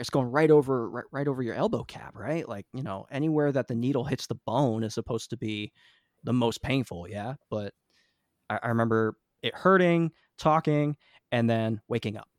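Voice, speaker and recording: Recorded very cleanly against a silent background, with a dry, close sound and no echo, a man with a New Jersey accent speaks at a fairly quick pace and medium pitch, with ordinary pitch variation and big swings in loudness. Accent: New Jersey American. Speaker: musician. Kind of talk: casual chat.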